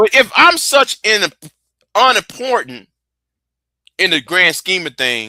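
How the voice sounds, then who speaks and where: A man with a high pitch talks at a very slow pace with long, frequent pauses. The sound is dry and close with no echo. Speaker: live stream debater. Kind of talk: heated debate. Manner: halting, repeats words.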